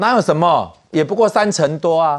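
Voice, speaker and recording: In a very clean recording with a silent background, a man with a Taiwanese accent speaks in a fairly high voice. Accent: Taiwanese Mandarin. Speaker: political commentator. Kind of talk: political talk show.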